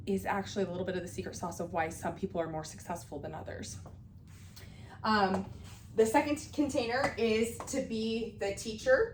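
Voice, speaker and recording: A woman's voice with audible room echo. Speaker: beauty business educator. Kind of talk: class lecture. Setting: classroom with students. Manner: casual, many fillers.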